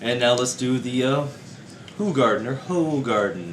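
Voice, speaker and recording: Through noticeable background noise, a man speaks with ordinary pitch variation. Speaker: beer reviewer. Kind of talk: casual talk to camera.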